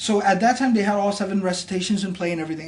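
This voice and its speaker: High-pitched speech from a man amid noticeable background noise. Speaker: imam. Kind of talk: religious explanation in conversation.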